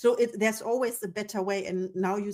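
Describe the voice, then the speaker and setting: With a non-native accent, a woman speaks at a fairly quick pace in a medium pitch with ordinary pitch variation. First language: not English. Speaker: podcast host. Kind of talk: interview conversation.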